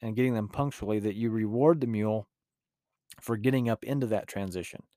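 A man with a rural Utah accent speaks at a medium pitch. His tone is dark and mellow, with ordinary pitch variation. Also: very clean recording, silent background. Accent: rural Utah, western US. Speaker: mule trainer and podcaster. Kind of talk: casual podcast monologue. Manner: relaxed, filler-heavy.

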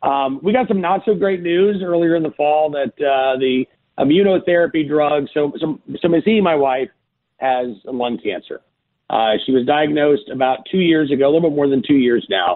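At a moderate pace, a man with a normal speaking voice talks at a fairly high pitch with lively intonation. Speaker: farmer and podcaster. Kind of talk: casual interview chat.

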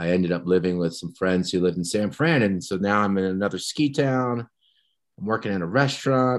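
Very deep and low in pitch, a man speaks with lively intonation in a very clean recording with a silent background. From New Jersey, US. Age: 50s. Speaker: podcast guest in recovery, former teacher. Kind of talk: personal testimony in interview.

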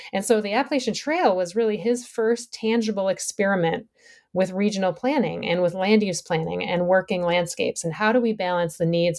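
A woman with an unremarkable speaking voice talks at a moderate pace with a medium pitch and ordinary pitch variation. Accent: American. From Minnesota, US Midwest. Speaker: environmental historian and professor. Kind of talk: podcast interview. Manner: frequent fillers (um, uh).

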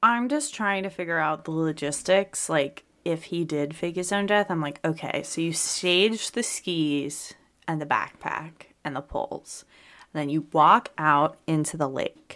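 In a very clean recording with a silent background, a woman with an American accent speaks at a fairly slow pace, her pitch fairly low with ordinary variation. Hers is an unremarkable speaking voice. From Pennsylvania. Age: 30s. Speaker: podcast co-host. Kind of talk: casual chat. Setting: studio.

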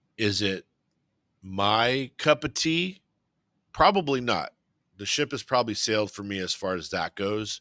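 Speaking with an American accent, a man at a medium pitch uses a bright, sharp tone and lively intonation, leaving long, frequent pauses, in a very clean, dry, close recording with a silent background and no echo. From Southern California. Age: 50s. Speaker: podcast host. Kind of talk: casual solo podcast monologue. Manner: conversational with frequent fillers.

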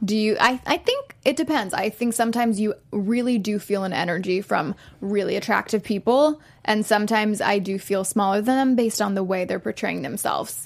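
In an ordinary speaking voice, a woman talks at a fairly quick pace with a fairly high pitch and ordinary pitch variation. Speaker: co-host. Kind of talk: casual chat.

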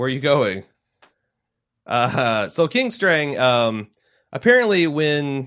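A man with an American accent speaks at a very slow pace with lively intonation. The background is quiet. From US Midwest (Cincinnati). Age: 30s. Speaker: podcast host. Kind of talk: casual chat. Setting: studio.

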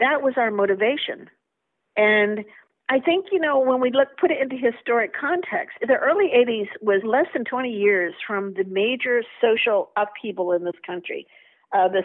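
With an American accent, a woman speaks in a plain, everyday voice at a moderate pace, her intonation lively. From United States. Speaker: vaccine safety advocate. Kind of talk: interview.

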